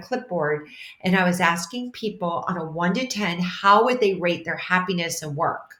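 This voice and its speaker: Using an ordinary speaking voice, a woman talks at a moderate pace and medium pitch with ordinary pitch variation. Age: 60s. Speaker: transformational leader and mentor. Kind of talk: interview.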